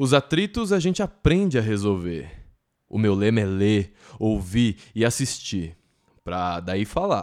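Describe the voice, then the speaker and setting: In a very clean recording with a silent background, a man with a fairly low pitch speaks at a fairly slow pace with lively intonation. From Brazil, São Paulo ABC region. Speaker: podcast host. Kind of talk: poetic spoken intro.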